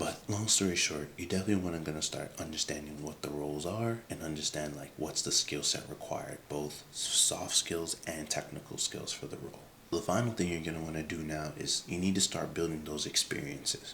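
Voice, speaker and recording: With hardly any pauses, a man speaks fairly quickly in a very deep, low pitch with ordinary pitch variation. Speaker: career advice creator. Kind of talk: casual advice vlog. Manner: halting, many fillers; soft-spoken.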